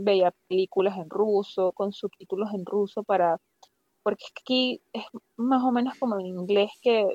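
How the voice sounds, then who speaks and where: A woman speaks fairly slowly at a medium pitch, in a normal speaking voice. The sound is dry and close, with no echo. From Venezuela, Valera (Andes). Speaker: doctor, plastic surgery resident. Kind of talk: interview conversation. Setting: remote call.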